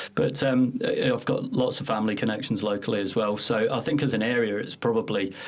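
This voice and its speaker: Over noticeable background noise, a man at medium pitch speaks at a fairly quick pace with fairly even intonation and hardly any pauses. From Scotland. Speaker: council economic development manager. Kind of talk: podcast interview. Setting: podcast studio. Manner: hesitant, many fillers and repetitions.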